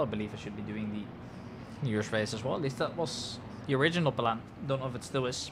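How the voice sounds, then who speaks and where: There is audible room echo as a man speaks with a Dutch accent. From Netherlands. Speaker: sim racing commentator. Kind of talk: live commentary. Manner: soft-spoken.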